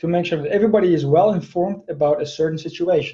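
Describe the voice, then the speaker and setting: Dark and mellow in tone, a man speaks in a high pitch with ordinary pitch variation. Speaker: technology sales director, presenter. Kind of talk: Q&A after a webinar presentation. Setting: live online webinar. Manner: fast.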